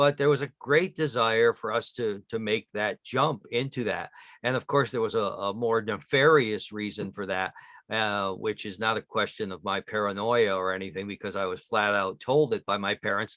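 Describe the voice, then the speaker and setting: This man has a normal speaking voice with a fairly low pitch and an American accent. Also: ordinary pitch variation, moderate pace. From upstate New York mill town. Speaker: author. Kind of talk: interview.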